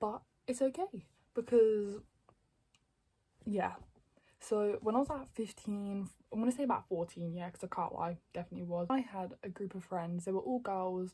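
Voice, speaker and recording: A woman speaks at medium pitch with ordinary pitch variation and long, frequent pauses. Her tone is dark and mellow, and somewhat breathy. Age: 20s. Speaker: YouTuber. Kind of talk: storytime monologue. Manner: fast; stutters.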